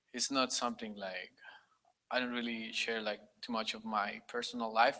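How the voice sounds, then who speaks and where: With a Spanish accent and a bright, sharp tone, a man speaks at a medium pitch and a moderate pace in monotone, flat intonation. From Costa Rica. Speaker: conference attendee. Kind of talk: personal testimony. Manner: halting.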